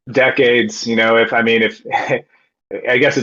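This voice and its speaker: A man keeps a moderate pace, and his intonation is fairly even. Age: 40s. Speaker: guest on crypto podcast. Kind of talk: casual chat. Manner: halting, many fillers.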